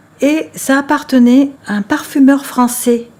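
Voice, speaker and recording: A woman speaks over noticeable background noise. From Spain, Valencia area. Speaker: interviewee recalling childhood. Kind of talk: personal reminiscence.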